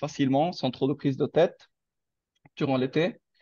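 A man's medium-pitched, monotone, flat voice against a quiet background. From Lebanon. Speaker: international master's student. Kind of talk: testimony. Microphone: video call.

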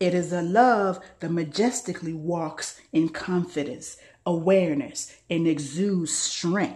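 A woman with a fairly low pitch speaks very slowly in a somewhat breathy voice. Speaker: spoken word poet. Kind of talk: spoken word poetry reading.

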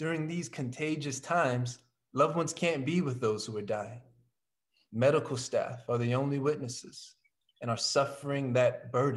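This man talks at a moderate pace in a fairly high pitch, somewhat breathy, with ordinary pitch variation against a quiet background. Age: young. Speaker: actor. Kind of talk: poem introduction read. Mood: solemn, gentle. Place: home room. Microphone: video call.

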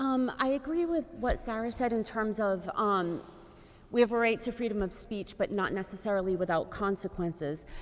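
A woman speaks with a plain, everyday voice at a fairly high pitch. Her intonation is lively. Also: moderate pace. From Fall River, Massachusetts; Massachusetts. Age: 40s. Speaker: school committee candidate, teaching artist; candidate. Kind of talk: closing statement; candidate forum answers. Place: hall.

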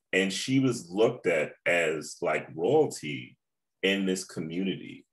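A man with an American accent talks against a quiet background. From US South. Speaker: musician; panelist. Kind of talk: panel discussion. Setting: video call. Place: home room. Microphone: webcam.

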